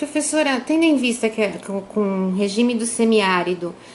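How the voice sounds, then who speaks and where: A woman speaks with a fairly high pitch. Noticeable background noise can be heard. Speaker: journalist. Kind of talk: interview questions.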